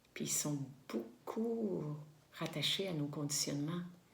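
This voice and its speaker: Against audible room echo, a woman talks very slowly with a very deep, low pitch and lively intonation. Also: long, frequent pauses, very even loudness. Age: 60s. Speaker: spiritual vlogger. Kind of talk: reflective monologue to camera. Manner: halting, many fillers and repetitions.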